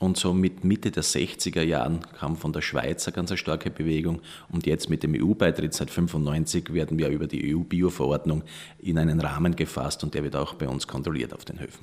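Vocal fry runs through a man's very deep, low voice. He keeps a moderate pace with fairly even intonation. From Austria, Styria (near Graz). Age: 40s. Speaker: organic dairy farmer. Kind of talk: interview.

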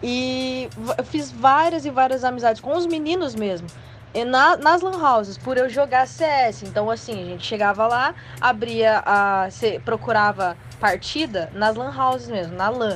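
A woman speaks at a fairly slow pace in a fairly high voice. Her pitch swings very widely. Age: 20s. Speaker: casual gamer. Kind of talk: casual chat. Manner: halting.

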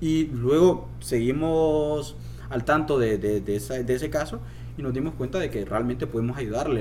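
Audible room echo follows this man as he talks at a moderate pace. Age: 20s. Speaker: suicide prevention organization founder, poet. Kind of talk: interview conversation.

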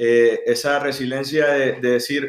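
A man talks in a plain, everyday voice with a fairly high pitch. His intonation is fairly even. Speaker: university student club founder. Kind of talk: casual interview.

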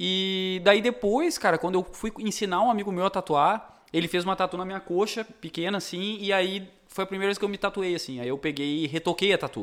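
Music plays behind a man whose voice sits high for a man, with ordinary pitch variation. He talks at a fairly quick pace with hardly any pauses. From Rio Grande do Sul, Brazil (Cachoeira do Sul). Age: 30s. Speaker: tattoo artist. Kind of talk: casual chat.

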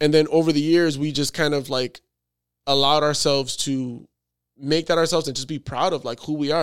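A plain, everyday voice from a man with an American accent, fairly high in pitch, with fairly even intonation, recorded very cleanly against a silent background. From New York. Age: 30s. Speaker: photographer. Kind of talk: casual chat.

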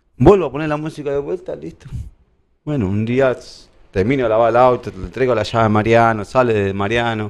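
A man's medium-pitched voice, ordinary in pitch variation, at a fairly quick pace. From Argentina, La Plata. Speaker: kit manager for a sports club. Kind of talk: casual interview, anecdotes. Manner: halting, repetitive.

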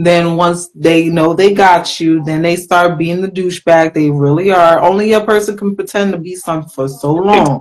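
This woman has an ordinary speaking voice, fairly low in pitch, with fairly even intonation and an American accent. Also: moderate pace, hardly any pauses. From Philadelphia. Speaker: guest co-host. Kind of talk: casual chat.

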